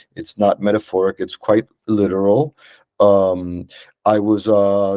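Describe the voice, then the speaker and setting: In a very clean recording with a silent background, a man's fairly low voice has a dark, mellow tone and a dry, close sound with no echo. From Venezuela. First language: Spanish. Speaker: psychologist. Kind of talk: conference talk. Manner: halting, many fillers.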